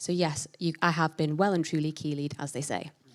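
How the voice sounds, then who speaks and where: Fairly quick female speech on a very clean recording with a silent background. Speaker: church member giving baptism testimony. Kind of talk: testimony. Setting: church. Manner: loud.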